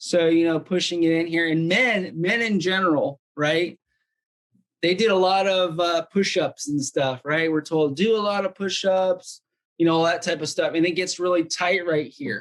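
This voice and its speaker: A man speaks loudly at a moderate pace. His pitch is high. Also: ordinary pitch variation. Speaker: wellness device demonstrator. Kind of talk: product demonstration. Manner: casual, filler-heavy. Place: home room. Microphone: video call.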